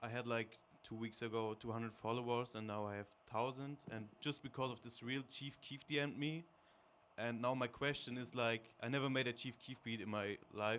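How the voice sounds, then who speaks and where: A man with a German accent at a medium pitch, moderate pace and fairly even intonation. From Germany. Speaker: audience member, beatmaker. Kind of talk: audience question. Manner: halting.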